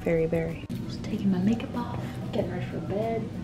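A woman talks at a moderate speed against loud background noise. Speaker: travel vlogger. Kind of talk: casual vlog chat. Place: home room. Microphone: phone near.

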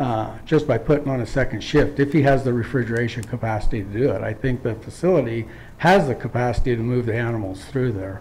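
With hardly any pauses, a man talks at a very fast pace with ordinary pitch variation against light background noise. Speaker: public commenter at hearing. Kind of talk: public hearing statement. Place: hall. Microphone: podium.

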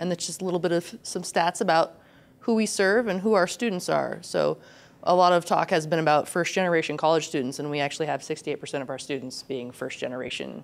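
A woman's fairly low voice with vocal fry and lively intonation at a very fast pace. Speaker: instructional designer, conference presenter; conference presenter. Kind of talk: conference presentation. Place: hall. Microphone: handheld.

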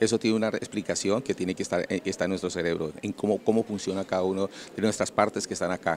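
Over light background noise, a man talks at a very fast pace and a fairly low pitch with fairly even intonation, in dry sound with no echo. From Colombia (Cali); Colombia. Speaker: motivational trainer; conference lecturer. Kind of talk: lecture. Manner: halting, many repetitions and fillers. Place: hall.

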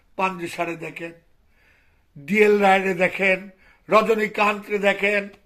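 A man talks at a high pitch in a bright, sharp tone. His intonation stays monotone and flat. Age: 50s. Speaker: Sufi spiritual teacher. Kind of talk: religious sermon.

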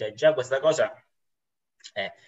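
Against a quiet background, a man speaks with a bright, sharp tone at a fairly high pitch. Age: 20s. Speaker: university student, former pastry chef; guest. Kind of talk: philosophical dialogue. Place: home room. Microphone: video call.

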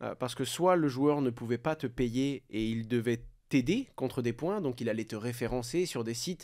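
This man has a normal speaking voice. He talks at a moderate pace and a medium pitch. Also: ordinary pitch variation, very clean recording, silent background. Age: 20s. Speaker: crypto content creator and entrepreneur. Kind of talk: casual interview.

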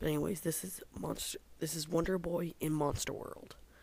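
Moderate pace over noticeable background noise. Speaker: video game reviewer. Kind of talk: casual review. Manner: halting.

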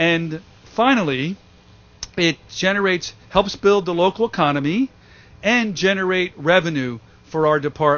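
With ordinary pitch variation, a man talks in a high voice. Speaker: city parks commissioner. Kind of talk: ceremony speech. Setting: outdoor event. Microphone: podium.

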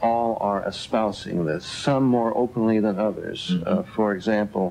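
Here a man speaks at a fairly slow pace. His voice is fairly low, with ordinary pitch variation. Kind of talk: radio talk show discussion. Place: studio. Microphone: podium.

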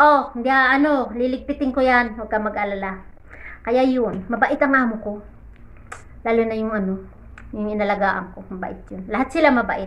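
Loudness swings widely as a woman speaks at a moderate pace and a fairly high pitch, with ordinary pitch variation. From Philippines. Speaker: overseas domestic worker and vlogger; vlogger. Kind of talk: casual vlog. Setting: in her bedroom, lying in bed. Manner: animated. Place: home room. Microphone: phone near.

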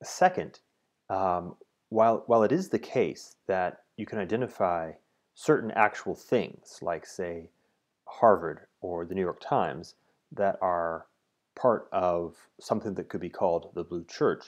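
Speaking with long, frequent pauses, a man uses a very deep, low pitch with ordinary pitch variation. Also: fairly slow pace, quiet background. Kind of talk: explanatory monologue. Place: home room. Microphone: earbuds.

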